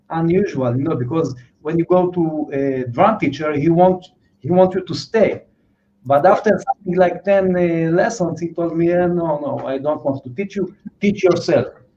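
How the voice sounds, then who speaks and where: A man with a non-native accent speaks at a moderate pace in a high, dark, mellow voice with ordinary pitch variation. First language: not English. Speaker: drummer. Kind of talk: interview. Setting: livestream. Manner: halting.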